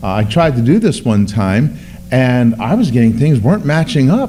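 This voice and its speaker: A man with lively intonation at a moderate pace, noticeable background noise behind him. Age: 60s. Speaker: pastor. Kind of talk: bible class teaching. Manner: halting.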